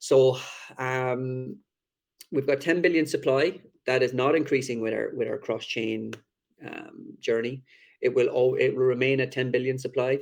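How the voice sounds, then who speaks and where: In a strong Irish accent, the speaker keeps a moderate pace broken by long, frequent pauses. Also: man. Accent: thick Irish. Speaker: crypto project team member. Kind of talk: AMA presentation.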